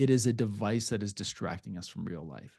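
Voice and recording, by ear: Fairly low in pitch, a man speaks at a fairly quick pace with a dark, mellow tone, a slightly husky edge and vocal fry. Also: ordinary pitch variation.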